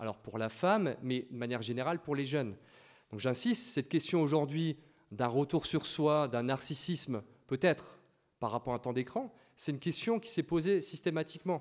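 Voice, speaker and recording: With lively intonation, a man holds a moderate pace. Nothing intrudes from the quiet background. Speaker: PE teacher and lecturer; PE teacher, lecturer. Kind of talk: lecture. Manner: loud; halting, with repetitions and fillers. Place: classroom.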